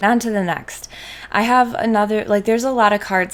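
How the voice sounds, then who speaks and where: A woman with a Wisconsin accent, over noticeable background noise. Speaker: trading card content creator. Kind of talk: card spoiler review, casual video. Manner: enthusiastic.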